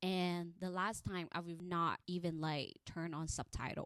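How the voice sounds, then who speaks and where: A woman with an American accent speaks in an animated tone at a fairly slow pace, her pitch fairly low. The sound is dry and close with no echo, on a very clean recording with a silent background. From Thailand. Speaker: podcast host. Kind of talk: casual monologue.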